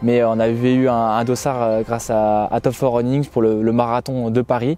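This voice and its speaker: At a moderate pace, a man delivers his words in a dark, mellow tone at medium pitch, with monotone, flat intonation and very even loudness. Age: 20s. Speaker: journalism student, amateur marathon runner. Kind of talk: documentary interview. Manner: hesitant, many fillers.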